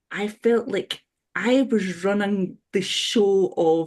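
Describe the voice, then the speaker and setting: Against a quiet background, a dark, mellow voice speaks with a Scottish accent. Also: woman. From Scotland. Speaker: webinar panelist. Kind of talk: webinar discussion. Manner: halting.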